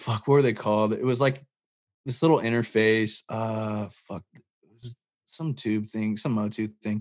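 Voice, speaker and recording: A man with an American accent and a normal speaking voice, medium pitch, fairly even intonation, a moderate pace and big swings in loudness. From US West, Barstow, California. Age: 20s. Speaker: musician. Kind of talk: casual chat. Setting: video call.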